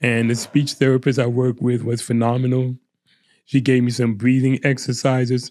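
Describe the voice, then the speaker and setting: A man talks at a moderate pace in a medium pitch, his intonation monotone and flat. His tone is dark and mellow. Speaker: Reiki healer. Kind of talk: interview testimony. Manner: halting, many fillers.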